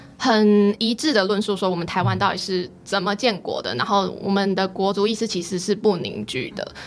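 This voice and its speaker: A woman in a plain, everyday voice, at a medium pitch with ordinary pitch variation, moderate pace and hardly any pauses. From Taiwan, Pingtung. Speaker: graduate student. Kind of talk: interview.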